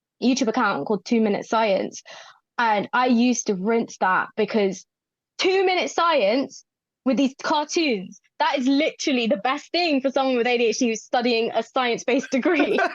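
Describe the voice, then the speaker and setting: An animated speaker with a London accent and lively intonation keeps a very even loudness, recorded dry and close with no echo against a quiet background. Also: woman, high pitch for a woman, moderate pace. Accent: London-area English. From southern England, Watford near London. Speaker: mental health pharmacist. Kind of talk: podcast interview.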